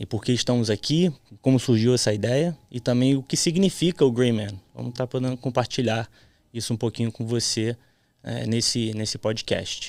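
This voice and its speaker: In a very clean recording with a silent background, a man talks in an unremarkable speaking voice. His pitch is medium with ordinary pitch variation, and his pace is moderate. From Florida, US childhood, then Brazil in youth. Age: 30s. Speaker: podcast host. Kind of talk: casual chat.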